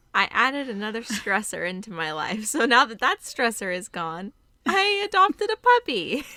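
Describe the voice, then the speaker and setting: Quiet yet swinging widely in loudness, a woman speaks at a moderate pace in a bright, sharp tone with a fairly high pitch and very wide pitch swings. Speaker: podcast co-host. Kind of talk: casual chat. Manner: quiet, low-key.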